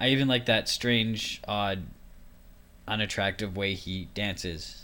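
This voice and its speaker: A man mumbles in a bright, sharp tone, his intonation lively. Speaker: nursing student podcaster. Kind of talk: casual solo podcast monologue. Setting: home recording. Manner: mumbling.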